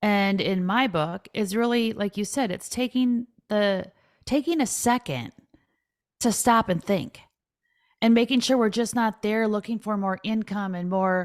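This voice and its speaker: On a very clean recording with a silent background, a woman with an American accent speaks in an animated tone at a medium pitch, with ordinary pitch variation and a fairly slow pace. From Minnesota. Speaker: financial advisor and author. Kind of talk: podcast interview.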